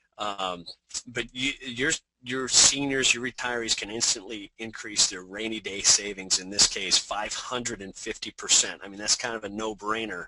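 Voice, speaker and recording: An unremarkable speaking voice from a man, fairly low in pitch, with fairly even intonation and a moderate pace. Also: big swings in loudness. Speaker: insurance marketing presenter. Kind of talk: webinar presentation. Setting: webinar.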